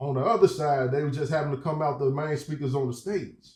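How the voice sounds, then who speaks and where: The man's voice sits fairly high and comes across somewhat breathy. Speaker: rapper and music video creator. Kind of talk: casual vlog review. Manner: animated.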